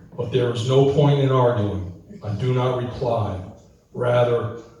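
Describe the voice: Someone reads aloud plainly, with pitch that rises and falls in an ordinary way.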